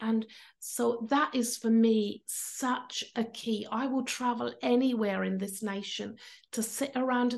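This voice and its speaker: A woman's fairly high voice at a very slow pace, with ordinary pitch variation and a quiet background. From Cornwall, England. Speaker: pastor and church planter. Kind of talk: interview. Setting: video call.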